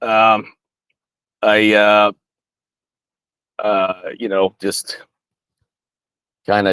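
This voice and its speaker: A man with an American accent speaks in a fairly low pitch, leaving long, frequent pauses. The sound is dry and close, without echo. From US South. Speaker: army veteran. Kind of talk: interview. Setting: video call from home studio. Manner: fast; halting.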